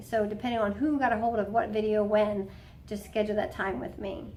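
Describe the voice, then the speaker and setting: Talking at a very fast pace, a woman with a fairly high pitch is heard with audible room echo. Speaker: health coach at a wellness clinic. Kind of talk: instructional talk to patients. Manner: casual, conversational.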